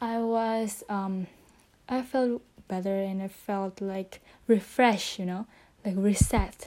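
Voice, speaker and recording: A woman speaks at a very slow pace. Her medium-pitched voice has a dark, mellow tone. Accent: non-native. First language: not English. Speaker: podcaster. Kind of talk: solo casual monologue. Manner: halting.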